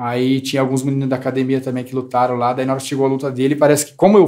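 The voice belongs to a man. Its tone is dark and mellow. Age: 20s. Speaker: barber. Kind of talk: casual chat.

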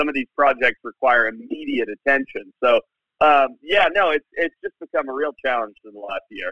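A man's plain, everyday voice, at a moderate pace with ordinary pitch variation. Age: 30s. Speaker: wildlife biologist. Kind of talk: interview. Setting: phone call.

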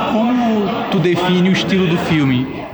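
Crowd noise and audible room echo surround a man speaking at a high pitch with lively intonation. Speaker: podcast host. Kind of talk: casual interview.

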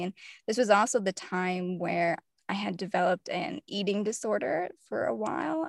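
A woman at a medium pitch with lively intonation and vocal fry, dry and close with no echo, in a very clean recording with a silent background. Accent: American. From US South, mainly Tennessee. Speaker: fiction author and poet. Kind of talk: interview conversation.

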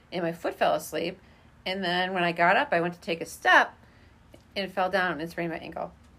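This woman has a plain, everyday voice at medium pitch. She talks at a fairly quick pace with an American accent. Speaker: teacher, friend of host. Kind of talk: casual chat.

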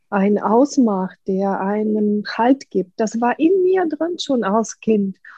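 A woman's somewhat breathy, fairly high voice at a very slow pace. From Ukraine. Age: 50s. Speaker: artist and painting-method coach. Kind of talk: interview.

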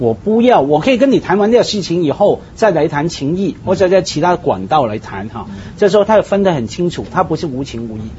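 The speech runs at a fairly quick pace with hardly any pauses against noticeable background noise. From Hong Kong. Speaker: talk show panelist. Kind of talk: casual chat.

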